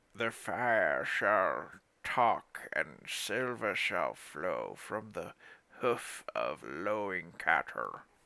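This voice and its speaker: Someone drawls out a put-on character voice at a very slow pace. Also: man. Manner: ominous, prophetic.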